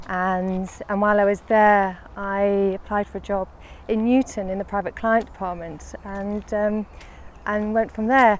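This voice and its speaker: A woman of medium pitch with a Lancashire accent, with monotone, flat intonation at a fairly slow pace, in a very clean recording with a silent background. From northern England, Lancashire. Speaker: head of investments at a wealth manager. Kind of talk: casual interview on a walk. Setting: outdoors, walking in a park.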